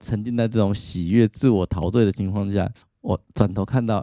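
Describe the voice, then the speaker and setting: In a dry, close sound with no echo and a quiet background, a man speaks at a fairly low pitch in a dark, mellow tone with fairly even intonation. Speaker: psychologist podcast host. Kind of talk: casual monologue.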